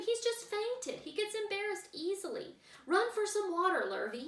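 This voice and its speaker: A woman's put-on character voice at an extremely high pitch, at a moderate pace with slight echo. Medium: read story.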